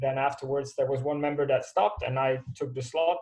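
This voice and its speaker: A man talks in a somewhat breathy, fairly high voice. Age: 30s. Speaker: skydiver. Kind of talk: webinar talk.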